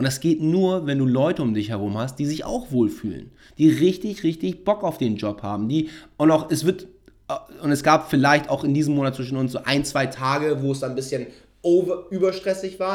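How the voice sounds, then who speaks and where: A man speaks in a normal speaking voice pitched fairly high. His intonation is lively. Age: 30s. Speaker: podcast host and startup founder. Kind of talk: casual chat. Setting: studio.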